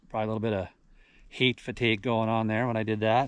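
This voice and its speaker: Here a man speaks at a medium pitch. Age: 60s. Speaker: blue-collar worker vlogger. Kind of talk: casual vlog narration.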